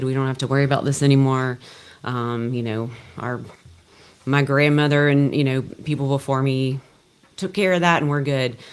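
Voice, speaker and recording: Talking in a Louisiana accent, a woman has a very deep, low pitch and monotone, flat intonation at a moderate pace. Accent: Louisiana Southern US. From Louisiana, Shreveport. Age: 40s. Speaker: physician assistant. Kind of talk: panel discussion.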